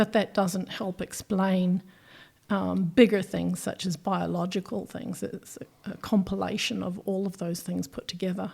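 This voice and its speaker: The voice carries vocal fry and fairly even intonation at a moderate pace. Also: woman, medium pitch for a woman. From New Zealand. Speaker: microbiologist. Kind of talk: interview.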